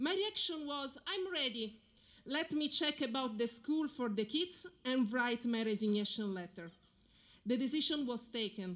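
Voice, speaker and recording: Speaking in an Italian accent, a woman with a high pitch talks at a moderate pace with lively intonation. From Italy. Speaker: military spouse speaker. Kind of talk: ceremonial speech. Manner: formal.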